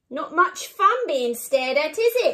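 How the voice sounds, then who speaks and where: A woman's put-on character voice, extremely high-pitched and croaky, with very wide pitch swings at a moderate pace. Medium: read story.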